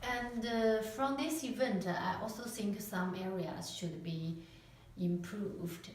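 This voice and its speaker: With a non-native accent, a woman speaks very slowly at medium pitch, with audible room echo and noticeable background noise. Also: ordinary pitch variation. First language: not English. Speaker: university student. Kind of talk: class presentation. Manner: halting, many fillers.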